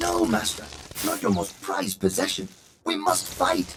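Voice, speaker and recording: Moderate pace and fairly low pitch in a man's put-on character voice. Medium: video game.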